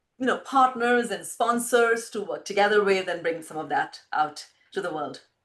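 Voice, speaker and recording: Speaking with an Indian accent, a woman uses lively intonation at a medium pitch. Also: moderate pace. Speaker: filmmaker. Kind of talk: interview.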